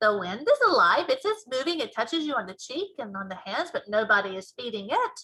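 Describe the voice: Using a put-on character voice, a woman speaks at a fairly quick pace with a fairly high pitch, big pitch swings, a bright, sharp tone and a slightly husky edge.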